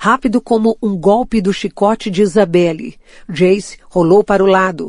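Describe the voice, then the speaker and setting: A woman's dark, mellow tone moves at a moderate pace, her pitch varying in an ordinary way. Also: dry, close sound with no echo. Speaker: audiobook narrator. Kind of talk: audiobook reading of a fantasy novel, dramatic narration.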